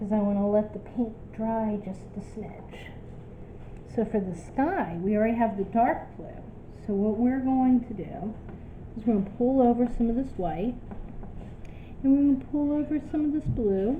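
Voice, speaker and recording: Audible room echo surrounds a woman speaking at a fairly high pitch and moderate pace, with long, frequent pauses. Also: ordinary pitch variation. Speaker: art teacher. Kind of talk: tutorial.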